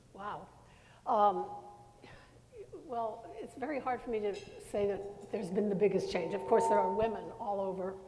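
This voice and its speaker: A woman's medium-pitched voice at a moderate pace with ordinary pitch variation, audible room echo, and music in the background. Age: 80s+. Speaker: retired TV news anchor. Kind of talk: panel discussion. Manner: halting.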